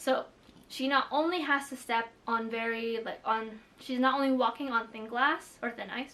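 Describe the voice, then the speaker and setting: With a Filipino accent, a woman speaks in a high voice at a moderate pace. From Philippines. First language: Tagalog. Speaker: booktuber. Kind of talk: casual vlog chat. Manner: casual, many fillers.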